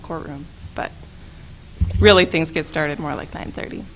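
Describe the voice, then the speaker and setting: A woman talks at a fairly quick pace in a bright, sharp tone with vocal fry. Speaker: staff attorney and legal trainer. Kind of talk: training presentation.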